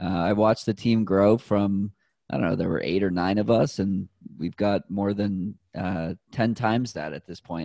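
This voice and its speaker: Over a quiet background, a man with an American accent speaks at a fairly low pitch in a dark, mellow tone. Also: ordinary pitch variation, moderate pace, dry, close sound with no echo. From Boston, Massachusetts. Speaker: runner and health tech sales manager. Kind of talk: casual interview.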